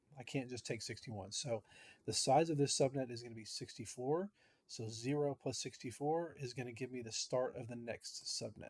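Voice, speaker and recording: This man's voice is somewhat breathy, at a medium pitch. He talks at a moderate pace with ordinary pitch variation. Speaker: teacher. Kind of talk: tutorial.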